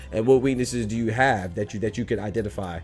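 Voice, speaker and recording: A very fast pace over music in the background. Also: man. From Nigeria. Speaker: podcast host. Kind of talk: casual chat.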